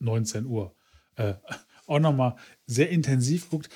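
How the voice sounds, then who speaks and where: This man's medium-pitched voice is somewhat breathy, with a dark, mellow tone. His intonation is lively. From Ruhr area, Germany. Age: middle-aged. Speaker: podcast co-host. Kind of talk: casual chat.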